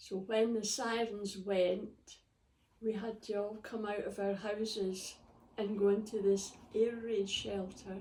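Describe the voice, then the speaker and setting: In a Scottish accent, a woman speaks very slowly at medium pitch, her dark, mellow tone held in a monotone, flat intonation. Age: 80s+. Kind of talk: interview answer.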